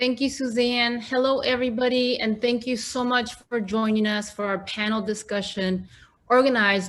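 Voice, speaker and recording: The speaker is a woman. Her accent is Mexican. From Mexico, Guanajuato. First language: Spanish. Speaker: panel moderator. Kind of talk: moderated panel discussion. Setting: virtual event.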